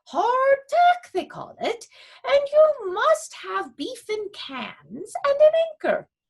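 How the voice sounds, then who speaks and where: A woman's put-on character voice, extremely high, very slow, with very wide pitch swings. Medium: read story. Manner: bossy, matter-of-fact, squawking.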